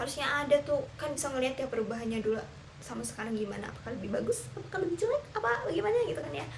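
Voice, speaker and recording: Noticeable background noise runs under a woman who speaks at a very fast pace. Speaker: teacher. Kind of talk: casual vlog monologue.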